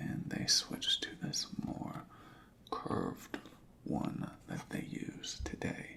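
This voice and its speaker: A man whispers in a relaxed tone at a very slow pace. Noticeable background noise can be heard. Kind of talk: asmr roleplay inspection, soft spoken. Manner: soft-spoken, relaxed, with some whispering.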